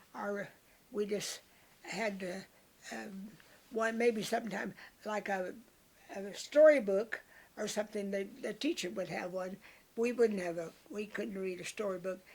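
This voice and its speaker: Fairly slow speech from a woman with a Texas Panhandle accent, medium pitch, ordinary pitch variation and long, frequent pauses. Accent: Texas Panhandle rural. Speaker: elderly woman telling memories. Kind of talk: oral history interview. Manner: halting.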